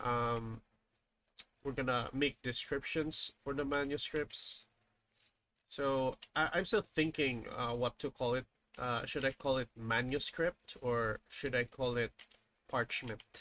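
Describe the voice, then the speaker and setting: A man with a Filipino accent speaks very slowly in a bright, sharp tone at medium pitch, with fairly even intonation and long, frequent pauses. The recording is very clean, dry and close, with a silent background and no echo. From Philippines. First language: Filipino language (not English). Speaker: indie game developer. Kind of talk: live stream dev commentary. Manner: halting, many fillers.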